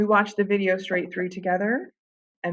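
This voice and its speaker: This is a woman's voice. She talks with vocal fry. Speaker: middle school Spanish teacher. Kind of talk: conference presentation. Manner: fast.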